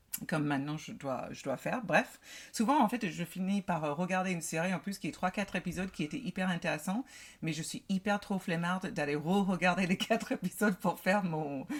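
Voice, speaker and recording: Speaking fairly quickly in an American accent, a woman has a somewhat breathy voice at a medium pitch with ordinary pitch variation. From United States. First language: English (speaking French). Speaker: podcast co-host. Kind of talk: casual chat.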